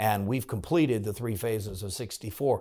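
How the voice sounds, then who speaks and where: Recorded very cleanly against a silent background, a man with an American accent speaks at a fairly quick pace in an unremarkable speaking voice, fairly low in pitch with ordinary pitch variation. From Virginia, Farmville (Southside). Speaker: state senator. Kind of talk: interview.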